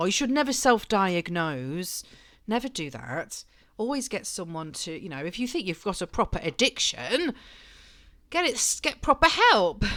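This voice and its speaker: A woman speaks at a moderate pace, her pitch swinging very widely with touches of vocal fry. The recording is very clean, with a silent background. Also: medium pitch for a woman, big swings in loudness. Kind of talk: casual talk to camera, reading and commenting on an article. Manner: chatty, humorous.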